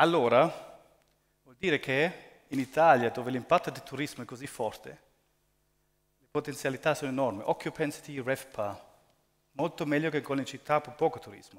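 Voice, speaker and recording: With a non-native accent, a man speaks at a fairly high pitch with ordinary pitch variation, big swings in loudness and long, frequent pauses over a quiet background. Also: moderate pace. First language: not Italian (speaking Italian). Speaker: real estate investment executive. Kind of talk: conference presentation. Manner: halting. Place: hall. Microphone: headset.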